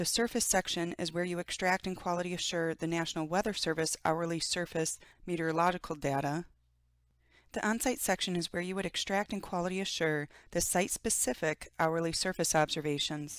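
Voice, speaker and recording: A woman with an unremarkable speaking voice talks at a fairly quick pace and fairly low pitch, with fairly even intonation, in a very clean recording with a silent background. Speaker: software trainer. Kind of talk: tutorial.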